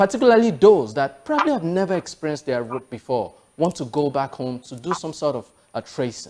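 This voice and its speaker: A man with a fairly high pitch talks fairly quickly, his intonation lively. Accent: Yoruba. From Nigeria. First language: Yoruba. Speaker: TV show host. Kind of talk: interview.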